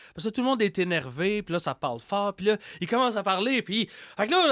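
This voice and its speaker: A man with a Quebec accent races along at a very fast pace with very wide pitch swings, in a very clean recording with a silent background and a dry, close sound with no echo. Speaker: podcaster and horror storyteller. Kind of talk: interview conversation. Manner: hesitant, repeats words.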